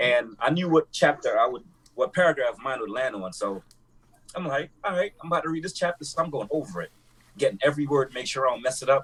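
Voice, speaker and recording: The intonation is lively. The words come out very fast. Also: man, fairly high pitch for a man. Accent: strong Jamaican. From Jamaica. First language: Jamaican Creole. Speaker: podcast co-host. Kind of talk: casual chat.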